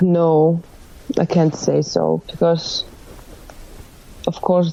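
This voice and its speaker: A woman with a Finnish accent over noticeable background noise. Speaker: rock band lead singer. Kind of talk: casual interview. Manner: halting, searching for words.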